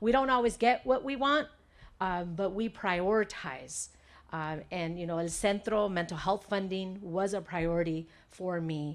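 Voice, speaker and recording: A woman speaks in a medium pitch at a fairly slow pace, with ordinary pitch variation. The recording is very clean, with a silent background. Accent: Spanish. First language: Spanish. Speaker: state legislator. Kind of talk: press conference speech. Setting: press conference with audience. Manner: frequent fillers (um, uh).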